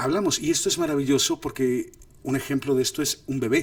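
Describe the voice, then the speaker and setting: On a very clean recording with a silent background, a man with a medium pitch speaks at a fairly quick pace in a somewhat breathy voice. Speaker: film director and acting coach. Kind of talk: lecture. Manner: animated.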